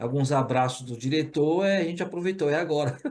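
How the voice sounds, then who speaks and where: A man talks at a fairly quick pace in a fairly high voice with ordinary pitch variation. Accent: strong Pernambuco. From Brazil, Pernambuco. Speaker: corporate training manager. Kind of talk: webinar case study talk. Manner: casual, informal.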